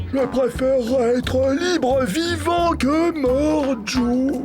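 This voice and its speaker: A cartoonish character voice at a very slow pace, with loud music in the background. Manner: plaintive, worried.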